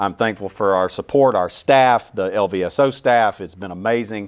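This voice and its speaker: A man with a Southern US accent, fairly low pitch, ordinary pitch variation and a moderate pace, in a very clean recording with a silent background. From US South, small-town Louisiana. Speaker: orchestra CEO. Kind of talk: interview. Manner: halting, many repeats.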